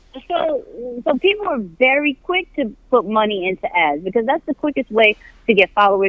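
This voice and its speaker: Moderate pace, very wide pitch swings, and hardly any pauses. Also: woman. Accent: American. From New York. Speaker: digital media coordinator, Navy veteran. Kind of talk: casual interview. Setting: walking while on podcast call. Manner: animated.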